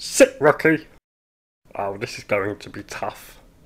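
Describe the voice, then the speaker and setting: Putting on a cartoonish character voice, a man speaks at a fairly slow pace. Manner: exasperated, pleading, sarcastic.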